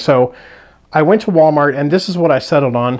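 The background has little noise. The speaker is a man. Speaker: budget hiker reviewing gear. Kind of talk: casual product review. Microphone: phone near.

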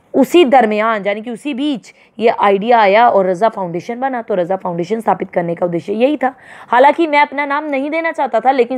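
A woman with a high pitch delivers her words at a moderate pace, her intonation lively. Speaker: Hindi teacher. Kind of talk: lecture. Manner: informal, conversational.

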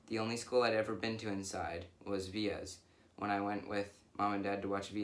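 This is a natural reading voice. It is heard throughout.

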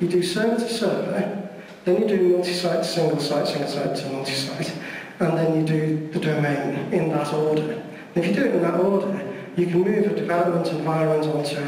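A man talks at a fairly quick pace with a high pitch and ordinary pitch variation. The room echoes strongly over light background noise. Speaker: speaker. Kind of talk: presentation talk. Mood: jokey, relaxed. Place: hall.

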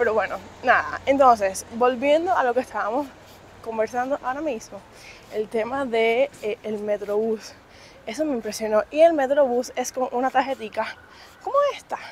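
With a Cuban accent, a woman speaks in a high, animated voice at a moderate pace with ordinary pitch variation, the sound dry with no echo over light background noise. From Cuba, Havana. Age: 20s. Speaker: vlogger. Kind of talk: casual vlog monologue. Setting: outdoors on the street. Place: street. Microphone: phone near.

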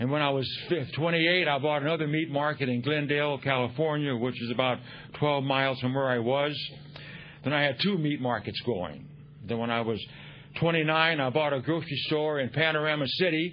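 Light background noise sits under a man speaking at a moderate pace with very even loudness and ordinary pitch variation. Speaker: speaker.

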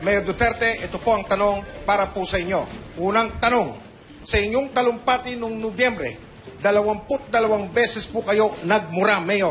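A high-pitched man at a moderate pace, with noticeable background noise. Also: fairly even intonation. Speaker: debate moderator. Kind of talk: formal debate moderation.

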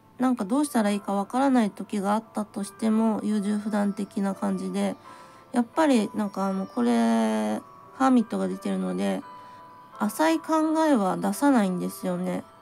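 A woman speaks at a moderate pace with faint music in the background. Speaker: tarot reader. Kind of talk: tarot reading talk to camera. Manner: plain, blunt natural voice; hesitant, thinking aloud. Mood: gentle, warm. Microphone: phone near.

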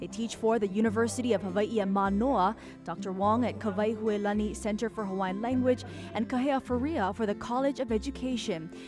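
Music plays in the background as a woman talks at a fairly quick pace and a fairly high pitch, with ordinary pitch variation. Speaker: TV news reporter. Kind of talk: TV news report narration.

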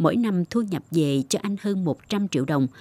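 A woman's dark, mellow voice, fairly low in pitch with very wide pitch swings, dry and close with no echo, on a very clean recording against a silent background. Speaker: news presenter. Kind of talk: news reading. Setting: studio. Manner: formal.

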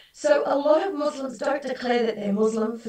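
A woman with an Australian accent talks with ordinary pitch variation, audible room echo and a quiet background. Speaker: halal certification expert; guest lecturer. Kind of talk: webinar lecture. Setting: video call. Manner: conversational, many fillers. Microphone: video call.

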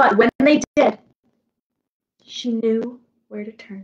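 Speaking at a slow pace, a woman has a fairly high pitch, a slightly mellow tone and a slightly husky edge. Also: ordinary pitch variation.

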